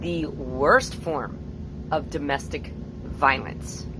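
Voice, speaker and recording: A woman's fairly slow speech with audible room echo and noticeable background noise. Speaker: nonprofit founder and parental alienation activist. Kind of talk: personal testimony vlog. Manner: loud.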